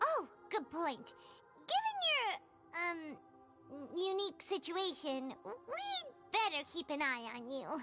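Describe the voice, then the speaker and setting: A squeaky, put-on character voice at an extremely high pitch goes at a fairly slow pace with long, frequent pauses, over clear background noise. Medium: video game. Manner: excitable, blunt.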